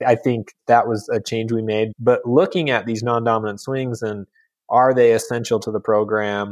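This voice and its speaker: A normal speaking voice from a man, medium in pitch, at a moderate pace with fairly even intonation, over a quiet background. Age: 30s. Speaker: sports biomechanics researcher. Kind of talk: casual interview.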